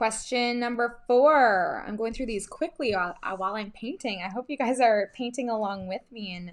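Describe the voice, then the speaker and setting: A woman with a plain, everyday voice and a Canadian accent, fairly high in pitch, at a moderate pace with hardly any pauses and ordinary pitch variation. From western Canada, Vancouver. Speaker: craft brand ambassador. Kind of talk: casual chat while crafting.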